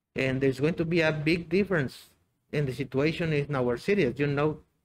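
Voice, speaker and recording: A man speaks with a Mexican accent at a fairly high pitch. His pitch variation is ordinary. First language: Spanish. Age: 60s. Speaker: biology teacher. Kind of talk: interview. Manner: halting, many fillers and repetitions.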